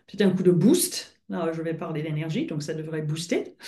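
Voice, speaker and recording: Audible room echo surrounds a somewhat breathy voice talking at a fairly slow pace. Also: woman. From France and Britain. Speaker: coach. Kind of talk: webinar presentation. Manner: hesitant, many filler sounds.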